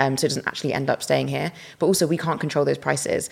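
Speaking very fast, the woman has a British accent. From UK. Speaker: climate justice activist. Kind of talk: interview.

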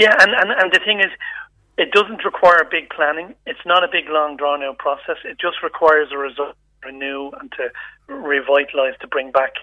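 Using an Irish accent, a man with a high pitch speaks at a moderate pace and big swings in loudness. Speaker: charity chief executive. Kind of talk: radio interview. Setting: phone call. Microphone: phone line.

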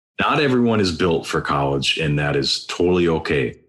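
With an American accent, a man talks at a moderate pace in a very deep, low pitch and lively intonation. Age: 40s. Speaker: life coach. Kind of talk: casual interview.

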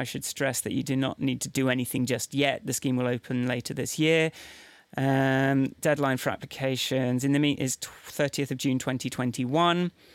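Speaking with an English accent, a man keeps a fairly quick pace, medium pitch and fairly even intonation. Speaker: podcast co-host. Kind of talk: casual chat.

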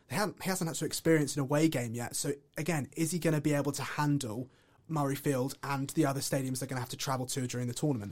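In an English accent, a man talks at a very fast pace and fairly high pitch, keeping his intonation fairly even. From England. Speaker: student podcast host. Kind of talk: casual chat.

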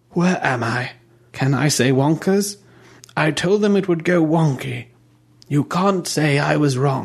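A man puts on a character voice, pitched fairly high and delivered at a fairly slow pace with long, frequent pauses. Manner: rambling, confused.

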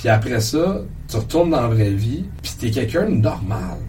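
A man at a medium pitch, moderate pace and lively intonation, with audible room echo. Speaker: comedian. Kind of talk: casual chat. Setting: comedy club studio.

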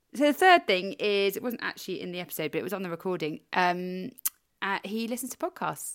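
Lively intonation at a fairly quick pace, in a British accent. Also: woman, medium pitch for a woman. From Britain. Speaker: podcast co-host. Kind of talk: casual chat.

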